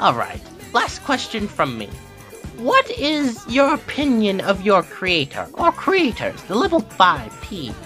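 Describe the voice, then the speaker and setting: Someone puts on a character voice with a fairly high pitch and a fairly slow pace, with clear music in the background. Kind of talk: parody talk show host. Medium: audio drama.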